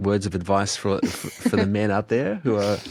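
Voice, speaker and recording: A man's fairly low voice, flat and monotone, at a fairly quick pace. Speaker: podcast host. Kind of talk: interview question.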